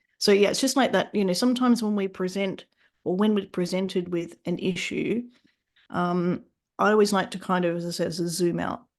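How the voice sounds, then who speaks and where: With an Australian accent, a woman speaks at a moderate pace and medium pitch, her intonation fairly even. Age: 40s. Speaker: fitness business mentor and author. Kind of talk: podcast interview.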